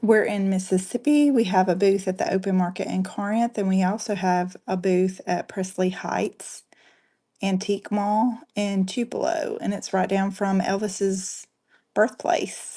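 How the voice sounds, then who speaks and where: Speaking with a Southern US accent at a fairly slow pace, the voice is somewhat breathy with a dark, mellow tone and fairly even intonation. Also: woman, medium pitch for a woman. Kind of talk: live selling stream. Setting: livestream on camera. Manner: casual, chatty.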